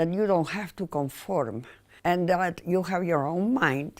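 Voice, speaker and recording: A woman speaks with a fairly low pitch and lively intonation. The recording is very clean, with a silent background. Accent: Spanish. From Spain, Mallorca. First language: Spanish. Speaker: painter. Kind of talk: personal interview monologue.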